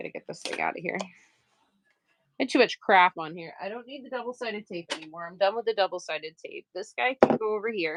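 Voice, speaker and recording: The tone is animated, with lively intonation, a very fast pace and a slight Maine accent. The sound is dry and close with no echo. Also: woman, medium pitch for a woman. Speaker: livestream crafter and seller. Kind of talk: casual livestream chat while sewing.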